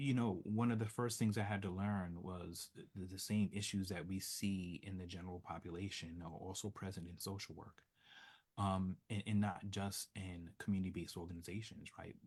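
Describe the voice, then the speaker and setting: Recorded very cleanly against a silent background, a man with an American accent speaks at a moderate pace in a very deep, low pitch with fairly even intonation. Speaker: social work professor. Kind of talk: interview. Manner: soft-spoken.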